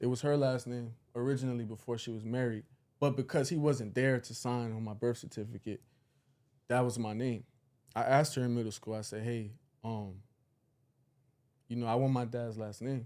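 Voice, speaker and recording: At a fairly quick pace broken by long, frequent pauses, a man speaks with a dark, mellow tone, medium pitch and fairly even intonation. The recording is very clean, with a silent background. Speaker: podcast co-host. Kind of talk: casual chat.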